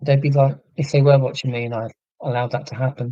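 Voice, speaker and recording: At a moderate pace, a somewhat breathy voice speaks with fairly even intonation in a dry, close sound with no echo. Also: man. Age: 40s. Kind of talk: live stream chat reading viewer comments.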